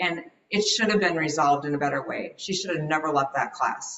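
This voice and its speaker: A woman with a plain, everyday voice, fairly low in pitch, at a fairly quick pace. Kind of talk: interview answer.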